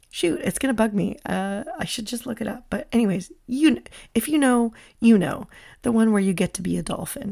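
A woman's fairly high, somewhat breathy voice with a dark, mellow tone, lively intonation and a fairly quick pace on a very clean recording with a silent background. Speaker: podcast host. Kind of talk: casual solo podcast talk. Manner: chatty, with laughs.

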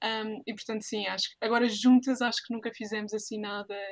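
Her pitch fairly high, a woman speaks at a fairly quick pace with monotone, flat intonation. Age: 20s. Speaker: master's student and volunteer. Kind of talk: casual interview.

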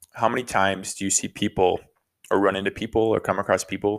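This is a man speaking. His pitch is fairly low. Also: very clean recording, silent background. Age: 30s. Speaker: podcast co-host. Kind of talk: casual chat. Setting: living room.

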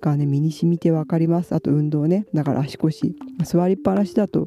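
Over noticeable background noise, a woman with a very deep, low pitch speaks at a fairly quick pace. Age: middle-aged. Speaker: illustrator and manga artist podcaster. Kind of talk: casual solo talk. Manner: chatty, laughing.

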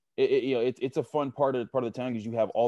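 A man speaks in an American accent at a medium pitch, his tone dark and mellow. The sound is dry and close with no echo, against a quiet background. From Pittsburgh, Pennsylvania. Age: 30s. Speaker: football analyst. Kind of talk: casual interview.

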